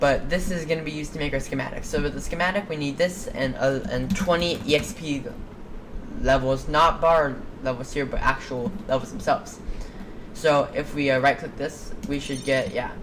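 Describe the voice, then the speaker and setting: A woman with a very deep, low pitch talks at a fairly quick pace and ordinary pitch variation. Noticeable background noise and audible room echo are present. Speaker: video game mod creator. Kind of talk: tutorial. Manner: fast; halting.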